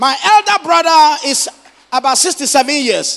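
A man with an extremely high pitch and vocal fry talks at a moderate pace, his bright, sharp tone moving through big pitch swings.

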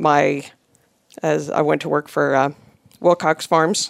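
A woman with an American accent speaks in a very deep, low pitch, recorded dry and close with no echo against a silent background in a very clean recording. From northern Indiana, US Midwest. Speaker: egg farm family business manager. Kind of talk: casual interview. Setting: studio.

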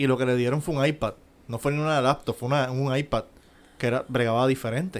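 Talking very fast, a man keeps his voice at a medium pitch. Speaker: podcast co-host. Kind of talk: casual banter podcast.

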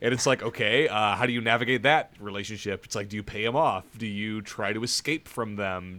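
The tone is bright and sharp. The pace is fairly quick, with hardly any pauses. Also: man. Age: 30s. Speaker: video game podcast host. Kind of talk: casual chat. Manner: animated.

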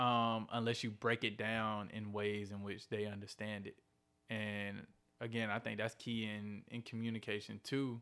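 Here a man with a Southern US accent speaks in a fairly low pitch. His tone is bright and sharp, and his intonation is flat and monotone. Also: moderate pace. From Columbus, Georgia, US South. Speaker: guest, movement activist. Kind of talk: casual interview chat. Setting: video call.

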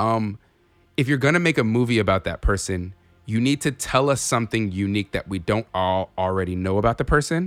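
Over music in the background, a man with an American accent talks at a medium pitch and a fairly quick pace with lively intonation, his sound dry and close with no echo. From Inland Empire, Southern California. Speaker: podcast co-host. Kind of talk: casual chat.

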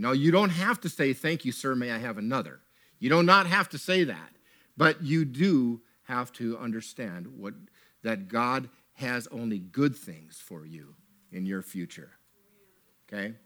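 On a very clean recording with a silent background, a man at a medium pitch sounds animated, with a bright, sharp tone, very wide pitch swings, a fairly slow pace and long, frequent pauses. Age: 60s. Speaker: preacher. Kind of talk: sermon. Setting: church with congregation.

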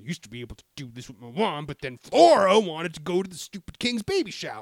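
Using a put-on character voice, a man rattles off his lines very fast in a high pitch and an angry tone.

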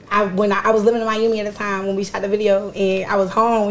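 A woman at a very fast pace, fairly high in pitch, with noticeable background noise. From Philadelphia. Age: 20s. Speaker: rapper. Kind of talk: casual chat; tutorial.

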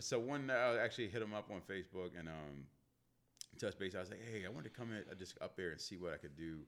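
Speaking with an American accent, a man talks at a very fast pace. His pitch is fairly low and his intonation lively. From Northern Virginia, DC area (Manassas). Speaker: videographer and photographer. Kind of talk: casual chat. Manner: loud.

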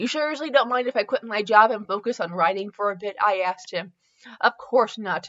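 The voice reads in an unforced reading voice over a quiet background.

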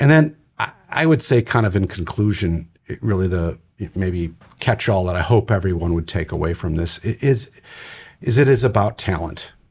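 A somewhat breathy voice at a moderate pace, on a very clean recording with a silent background. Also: man. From Wisconsin, US Midwest. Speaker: nonprofit youth organization CEO. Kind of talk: interview. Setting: studio.

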